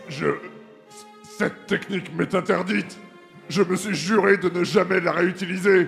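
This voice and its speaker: Clear music plays in the background as a man uses a put-on character voice at a high pitch. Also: moderate pace. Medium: audio drama. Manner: brash, impulsive.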